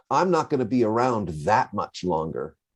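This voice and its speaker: This man's voice has vocal fry and swings very widely in pitch. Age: 70s. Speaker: software security architect and author. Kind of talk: podcast interview. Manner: halting, with frequent repetitions.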